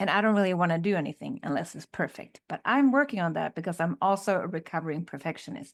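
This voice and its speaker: A woman with a Swedish accent, fairly low-pitched, very fast and lively in intonation, hardly any pauses, dry, close sound with no echo, very clean recording with a silent background. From Sweden. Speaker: podcast co-host. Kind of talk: casual chat.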